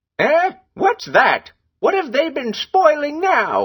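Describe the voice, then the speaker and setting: A man's squeaky, put-on character voice at an extremely high pitch, delivered at a fairly slow pace. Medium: read story.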